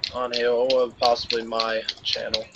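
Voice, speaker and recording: Noticeable background noise sits behind a man speaking very slowly at medium pitch. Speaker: gaming video creator. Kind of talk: casual chat. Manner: halting, many fillers.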